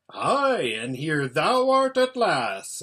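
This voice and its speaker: A man puts on a gruff character voice. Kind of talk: archaic, formal.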